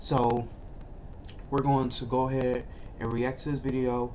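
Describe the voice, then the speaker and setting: Amid audible room echo, a man speaks at a medium pitch and fairly slow pace in a monotone, flat intonation. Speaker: YouTuber. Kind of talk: casual reaction video intro.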